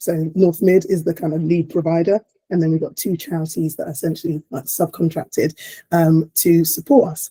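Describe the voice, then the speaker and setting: A woman's somewhat breathy, fairly low voice at a fairly quick pace, dry and close with no echo. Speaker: paediatric clinician and community project lead. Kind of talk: webinar presentation. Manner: animated.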